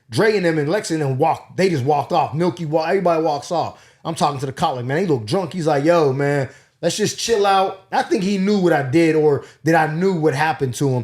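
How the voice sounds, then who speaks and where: Animated in tone, a man with a Pittsburgh accent talks at a fairly quick pace, fairly high in pitch with ordinary pitch variation. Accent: Pittsburgh accent, mistaken for New York. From Pittsburgh, Pennsylvania, US. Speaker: comedian. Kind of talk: casual storytelling.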